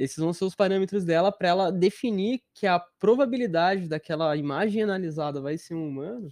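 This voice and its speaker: A man with lively intonation, recorded dry and close with no echo against a quiet background. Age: 20s. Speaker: software engineer. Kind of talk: casual chat. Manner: talkative.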